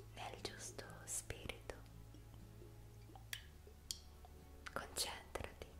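A woman's soft-spoken whisper. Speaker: ASMR relaxation guide. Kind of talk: soft guided relaxation talk. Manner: slow soft guided-relaxation whisper. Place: home room. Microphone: studio mic.

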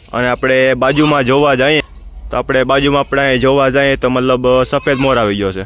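A man talks in an ordinary speaking voice. His pitch is medium and his intonation fairly even. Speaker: vlogger. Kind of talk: vlog narration.

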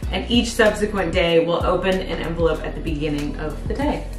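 Clear music plays in the background as a woman speaks with audible room echo. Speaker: vlogger. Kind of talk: casual vlog chat. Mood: excited and touched. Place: home room. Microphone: camera far.

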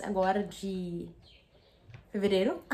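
A woman talks over light background noise. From Brazil. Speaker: book youtuber; book vlogger. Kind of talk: casual vlog unboxing. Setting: at home. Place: home room. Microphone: phone near.

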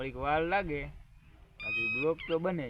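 Noticeable background noise sits behind a man whose voice is high-pitched. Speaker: village vlogger. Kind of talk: casual vlog chat. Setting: outdoors on farm.

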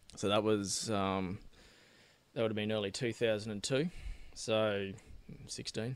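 With an Australian accent, a man speaks in a fairly low voice at a fairly slow pace. He leaves long, frequent pauses. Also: ordinary pitch variation. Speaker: political candidate. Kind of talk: casual interview.

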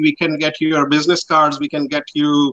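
Over a quiet background, a man with a Pakistani accent speaks at a moderate pace in a bright, sharp tone. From northwest Pakistan. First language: Pashto. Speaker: printing and promotional business owner. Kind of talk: casual interview. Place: home room.

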